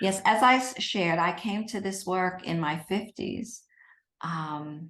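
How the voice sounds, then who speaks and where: A woman speaks at a fairly slow pace with a medium pitch against a quiet background, in a plain, everyday voice. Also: ordinary pitch variation. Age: 60s. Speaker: eating psychology specialist. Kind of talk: interview.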